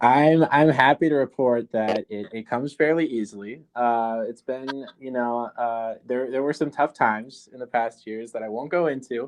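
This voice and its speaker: A man with a Minnesota accent talks at a moderate pace and a medium pitch, with fairly even intonation, big swings in loudness and hardly any pauses, in a dry, close sound with no echo against a quiet background. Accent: Minnesota accent, clear O's. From southern Minnesota, US. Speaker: professor and documentary filmmaker. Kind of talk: podcast interview. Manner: hesitant, many fillers and restarts.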